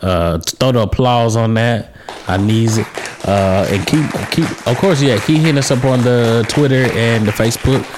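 Crowd noise sits in the background as the speaker goes at a moderate pace with ordinary pitch variation. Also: man, medium pitch for a man. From Atlanta, Georgia (southwest). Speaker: podcast host. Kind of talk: casual chat. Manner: animated.

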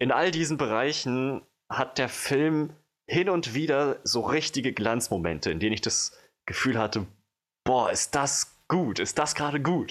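On a very clean recording with a silent background, a man with a fairly high pitch and vocal fry speaks with lively intonation and very even loudness. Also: fairly slow pace. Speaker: film podcast co-host. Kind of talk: casual chat. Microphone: new microphone, no longer handheld.

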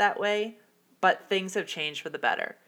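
A bright, sharp female voice with ordinary pitch variation, recorded very cleanly against a silent background. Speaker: podcast host. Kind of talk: solo podcast monologue about personal experience. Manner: casual, enthusiastic, somewhat hesitant with filler words.

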